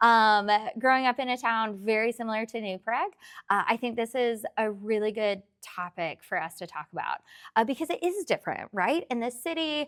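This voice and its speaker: Speaking at a fairly quick pace with a slight Tennessee accent, a woman uses lively intonation at a fairly high pitch, with a dry, close sound and no echo. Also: very clean recording, silent background. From rural Tennessee. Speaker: therapist. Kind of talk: interview.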